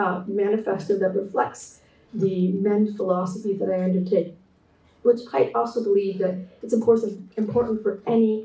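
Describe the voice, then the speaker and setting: A woman with a Canadian accent speaks at a moderate pace in a dark, mellow, somewhat breathy voice of medium pitch, her intonation fairly even, with audible room echo. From Canada. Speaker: textile artist and designer. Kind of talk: keynote presentation. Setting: online conference talk. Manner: hesitant, many fillers.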